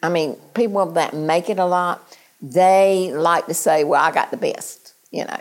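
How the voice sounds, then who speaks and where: A woman's fairly low voice with ordinary pitch variation, in an eastern North Carolina accent. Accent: Eastern North Carolina drawl. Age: 70s. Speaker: small-town mayor. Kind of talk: interview. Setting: outdoors. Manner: firm.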